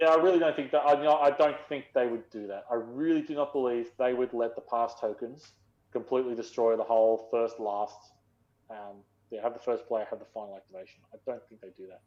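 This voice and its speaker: With an Australian accent, a man speaks at a fairly quick pace, with big swings in loudness. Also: medium pitch for a man, ordinary pitch variation. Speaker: gaming podcast co-host. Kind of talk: casual chat. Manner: fast.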